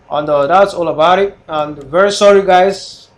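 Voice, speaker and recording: The speaker talks with a non-native accent and ordinary pitch variation. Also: man. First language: not English. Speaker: forex trader live streamer. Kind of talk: live trading stream chat. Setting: live stream. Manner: casual, hesitant.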